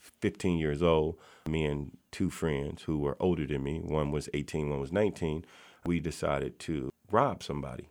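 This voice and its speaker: Very deep, low pitch and fairly even intonation from a man with an American accent. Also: very clean recording, silent background. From US South, Mississippi. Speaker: youth mentoring founder. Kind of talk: interview.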